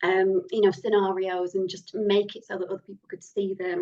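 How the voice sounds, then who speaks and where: A woman speaks with a Lancashire accent. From northern England (Lancashire). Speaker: horror novelist. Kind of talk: interview.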